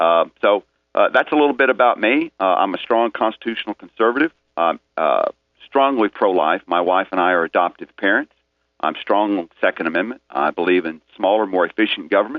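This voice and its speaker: Speaking with a Tennessee accent, a man talks at a fairly quick pace in a fairly low pitch with lively intonation. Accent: Southern US, Tennessee. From Middle Tennessee, Rutherford County. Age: 50s. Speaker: political candidate. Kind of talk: radio interview. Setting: phone call.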